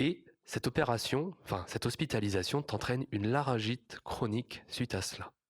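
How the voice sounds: A man speaks at a medium pitch with a slightly husky edge. His intonation is lively.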